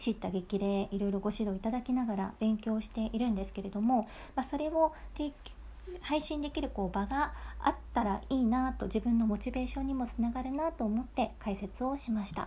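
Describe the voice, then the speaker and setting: A woman speaks at a fairly quick pace and fairly high pitch, with ordinary pitch variation. Her tone is dark, mellow, gentle, relaxed and somewhat breathy. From Bangkok, Thailand (Japanese expat childhood). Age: 20s. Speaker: podcast host and narrator. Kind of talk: casual diary-style monologue.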